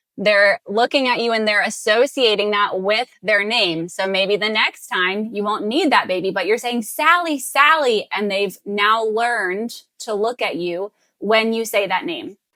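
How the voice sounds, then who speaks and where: Lively intonation in an American accent, fairly slow in pace with hardly any pauses. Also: woman, fairly high pitch for a woman. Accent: Southern accent slips out. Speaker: speech therapist. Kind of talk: tutorial.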